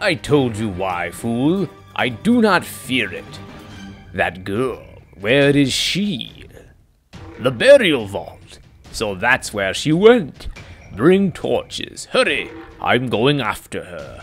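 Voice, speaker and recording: Faint music plays behind a man who speaks at a very slow pace with long, frequent pauses and very wide pitch swings. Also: medium pitch for a man, big swings in loudness. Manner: arrogant, menacing, contemptuous.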